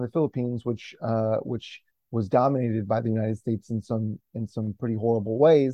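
In an American accent, a man with an unremarkable speaking voice talks at a fairly quick pace, his medium pitch showing ordinary variation. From US Midwest. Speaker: comic book writer. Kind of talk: casual interview.

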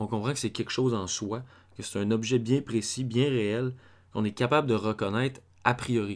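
With a Quebec accent, a man of medium pitch speaks at a fairly quick pace with fairly even intonation on a very clean recording with a silent background. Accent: Québécois French. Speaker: film theory podcaster. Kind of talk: lecture. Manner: halting. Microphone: far from the mic.

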